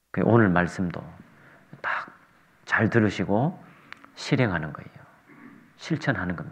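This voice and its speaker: A man at fairly low pitch with lively intonation, a fairly slow pace, long and frequent pauses, big swings in loudness and audible room echo. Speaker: visiting preacher. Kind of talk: sermon. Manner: soft-spoken.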